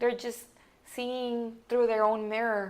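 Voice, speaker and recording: A woman with a Mexican accent speaks at a fairly slow pace. Her fairly high voice is monotone and flat. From Mexican border region, Nuevo Laredo side. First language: Spanish. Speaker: business consultant and company founder. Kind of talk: interview. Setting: podcast recording.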